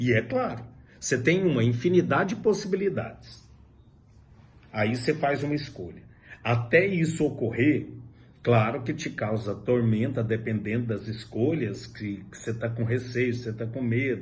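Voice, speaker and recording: There is audible room echo as a man talks with lively intonation. His pitch is medium and his voice somewhat breathy. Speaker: high school philosophy teacher. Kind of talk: lecture. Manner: slow.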